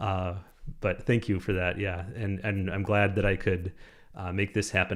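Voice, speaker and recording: A man's fairly low voice carries monotone, flat intonation in a very clean recording with a silent background. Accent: Minnesotan. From Minnesota, Minneapolis. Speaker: astrophotography YouTuber. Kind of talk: live stream chat.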